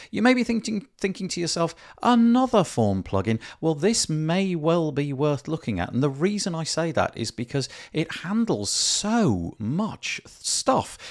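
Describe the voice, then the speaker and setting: In a British accent, a man speaks fairly slowly at a high pitch with very wide pitch swings, on a very clean recording with a silent background. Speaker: podcast host. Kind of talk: interview.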